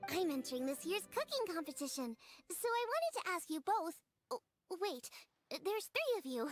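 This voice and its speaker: A woman's put-on character voice, extremely high in pitch, at a moderate pace with long, frequent pauses, very even loudness, a dry, close sound with no echo, and faint music in the background. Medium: video game. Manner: bubbly, energetic.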